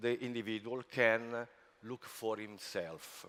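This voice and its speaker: Here a man talks at a very slow pace with an Italian accent. His pitch is medium. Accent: non-native English, Italian. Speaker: spa industry executive. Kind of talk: conference talk. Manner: halting, many fillers.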